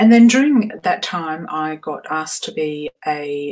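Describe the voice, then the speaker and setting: Lively intonation runs through a woman's very deep, low-pitched voice. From Australia, Perth. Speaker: vocal coach and voice medicine specialist. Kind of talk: live webinar talk. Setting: live stream from home.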